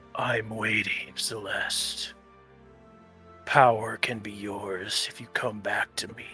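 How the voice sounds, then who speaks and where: Over clear music in the background, a man puts on a rumbling character voice at a medium pitch and a fairly slow pace. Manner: menacing, tempting.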